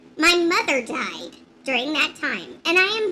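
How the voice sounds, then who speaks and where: A female-sounding voice puts on a character voice at an extremely high pitch. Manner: snarky.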